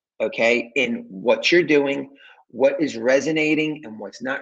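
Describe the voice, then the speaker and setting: A man uses a normal speaking voice at a fairly slow pace. His pitch is fairly high. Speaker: business coach. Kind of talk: direct-to-camera talk. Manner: casual, filler-heavy.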